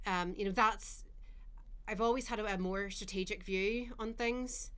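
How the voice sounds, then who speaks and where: Audible room echo surrounds a woman with a Northern Irish accent. Her fairly high voice moves at a moderate pace with fairly even intonation. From Northern Ireland, Carrickfergus near Belfast. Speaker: marketing executive. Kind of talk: podcast interview.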